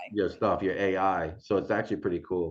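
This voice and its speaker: Against a quiet background, a man talks with a New England accent. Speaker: real estate agent and video tutor. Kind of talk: tutorial.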